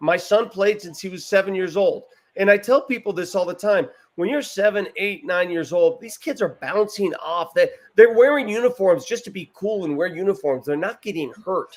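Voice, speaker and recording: This man has an animated tone and a high pitch with ordinary pitch variation. He talks at a moderate pace, with big swings in loudness. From US, Italian-American family. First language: Italian. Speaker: sports show host. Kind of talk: casual chat. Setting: bar with live crowd.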